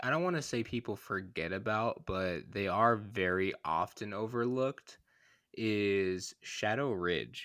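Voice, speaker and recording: The speech comes at a very slow pace in a very clean recording with a silent background. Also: man. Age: 20s. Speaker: high school sports podcast host. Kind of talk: casual chat.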